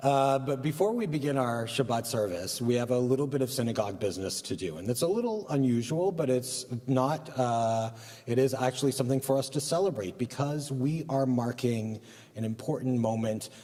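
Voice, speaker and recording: A man talks at a fairly quick pace, his pitch medium with ordinary variation. He has a normal speaking voice. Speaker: rabbi. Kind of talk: religious service remarks. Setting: synagogue service, live broadcast.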